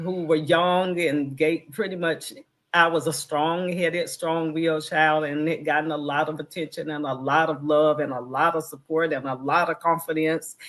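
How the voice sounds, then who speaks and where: A woman in a strong Southern US accent, very deep and low in pitch, monotone and flat, at a moderate pace with hardly any pauses. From US South, North Carolina. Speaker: filmmaker. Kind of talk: interview testimony.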